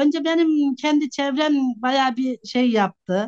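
Lively intonation marks a woman's voice, heard with a dry, close sound and no echo. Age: 50s. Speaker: social media personality. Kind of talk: casual interview.

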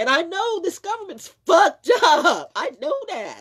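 Behind a woman's voice, the background stays quiet. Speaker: vlogger. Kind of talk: casual vlog chat, opinion rant. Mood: indignant, emphatic. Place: home room. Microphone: phone near.

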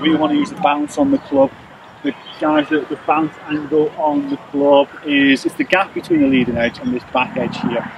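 The speech moves at a moderate pace. The sound is dry with no echo, though there is noticeable background noise. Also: man. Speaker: golf coach. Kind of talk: tutorial. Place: open country.

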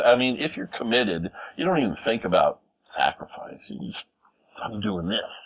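A man speaks at a moderate pace in an American accent, with a quiet background. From US Midwest (small-town Minnesota). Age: 50s. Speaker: music producer and recording engineer; interviewee. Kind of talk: interview. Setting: home recording studio. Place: studio. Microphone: lapel.

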